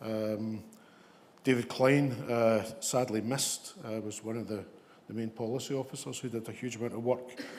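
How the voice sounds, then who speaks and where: In a West of Scotland accent, a man speaks with monotone, flat intonation and audible room echo. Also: medium pitch for a man, moderate pace. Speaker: ambulance service leader. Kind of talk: conference talk. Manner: hesitant, many fillers.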